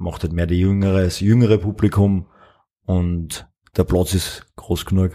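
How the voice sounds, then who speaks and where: At a very slow pace, a man speaks with a very deep, low pitch, a dark, mellow tone and fairly even intonation. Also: very clean recording, silent background. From Upper Austria. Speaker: spirits distiller. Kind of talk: interview. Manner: halting, with many fillers.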